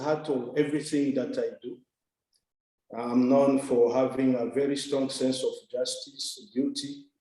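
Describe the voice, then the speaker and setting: A man speaks at a fairly slow pace in a dark, mellow tone, with ordinary pitch variation. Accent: Congolese. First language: French. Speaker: development worker, scholarship recipient. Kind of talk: interview. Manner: hesitant, many fillers.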